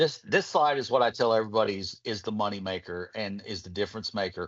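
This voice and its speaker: With an American accent, a man at a fairly low pitch talks at a very fast pace with ordinary pitch variation. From Kentucky, US South. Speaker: medical device physician presenter. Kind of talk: webinar presentation.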